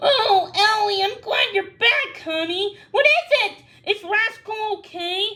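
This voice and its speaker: A woman's squeaky, put-on character voice, extremely high in pitch, with lively intonation and a fairly slow pace. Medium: read story. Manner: exasperated.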